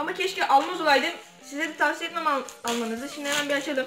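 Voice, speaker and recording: Very fast speech with audible room echo and faint music in the background. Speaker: product reviewer. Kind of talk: casual unboxing vlog chat. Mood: mildly disappointed. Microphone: phone near.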